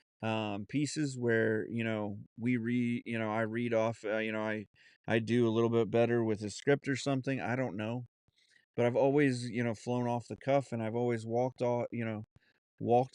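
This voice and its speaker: A man with an American accent at medium pitch, monotone and flat in intonation, at a moderate pace, in a dry, close sound with no echo against a quiet background. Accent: Southern accent when relaxed, put on at times. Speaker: podcast host. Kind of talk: casual monologue. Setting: home studio. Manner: halting, many fillers.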